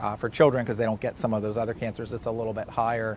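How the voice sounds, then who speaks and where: A man talks in a Pittsburgh accent with monotone, flat intonation. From Pittsburgh, Pennsylvania. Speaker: cancer surgeon. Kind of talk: interview.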